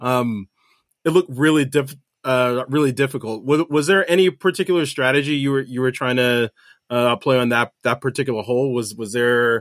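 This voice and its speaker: A man speaks at a fairly quick pace with a medium pitch and ordinary pitch variation, in a very clean recording with a silent background and a dry, close sound with no echo. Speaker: podcast co-host interviewer. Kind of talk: interview questions. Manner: hesitant, filler words.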